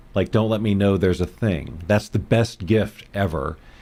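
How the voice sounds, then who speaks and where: With a plain, everyday voice, a fairly low-pitched man talks at a moderate pace and ordinary pitch variation. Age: 60s. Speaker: podcast co-host. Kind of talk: casual chat. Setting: live stream.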